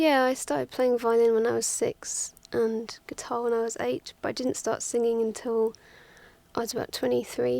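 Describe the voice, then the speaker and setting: Speaking at a moderate pace, a woman has an English accent. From England, Twickenham near London. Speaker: musician. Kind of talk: interview. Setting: studio.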